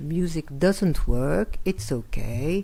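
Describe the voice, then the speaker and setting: A woman with a French accent speaks in a dark, mellow tone with lively intonation. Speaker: art critic and lecturer. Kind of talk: lecture. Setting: lecture hall with audience.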